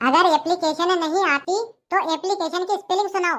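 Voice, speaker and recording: A put-on character voice, squeaky and extremely high in pitch, moves along at a moderate pace. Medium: voice reel. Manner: exasperated, lecturing.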